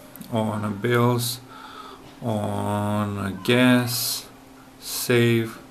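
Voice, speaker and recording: Over light background noise, a man talks in a monotone, flat intonation with a non-native accent. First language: not English. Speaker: app developer; app developer or reviewer. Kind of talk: software demo tutorial. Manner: hesitant, with fillers. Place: home room. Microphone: phone near.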